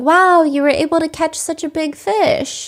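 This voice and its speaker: A woman puts on a soft-spoken, squeaky character voice with an extremely high pitch and a gentle tone, talking at a moderate pace. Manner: encouraging, gentle.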